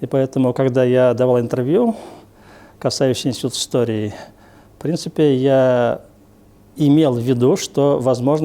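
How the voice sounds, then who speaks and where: With a dark, mellow tone and medium pitch, a man speaks at a moderate pace with fairly even intonation. Long, frequent pauses break up his speech. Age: 60s. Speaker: historian. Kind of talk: interview.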